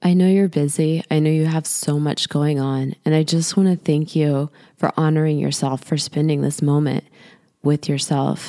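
Very deep and low, a woman's voice comes in a soothing, gentle tone with monotone, flat intonation and very even loudness, the sound dry and close with no echo. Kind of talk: guided meditation. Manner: slow, soothing and gentle, with calm deliberate pacing.

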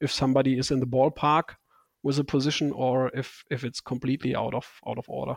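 A man's medium-pitched voice in a German accent, very fast and monotone with flat intonation, with a dry, close sound, no echo, and a very clean recording against a silent background. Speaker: bike fit and saddle company expert. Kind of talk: podcast interview.

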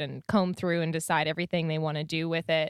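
Talking at a very fast pace, a woman uses a fairly low voice. The recording is very clean and dry, close with no echo and a silent background. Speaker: podcast co-host. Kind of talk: casual chat.

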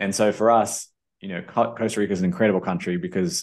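A man with a New Zealand accent, very deep and low in pitch, at a very fast pace with fairly even intonation, against a quiet background. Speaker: entrepreneur and investor. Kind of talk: interview.

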